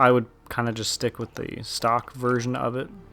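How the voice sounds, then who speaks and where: Quietly, a man speaks at a moderate pace and medium pitch. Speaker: gaming YouTuber. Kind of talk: gameplay commentary. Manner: monotone.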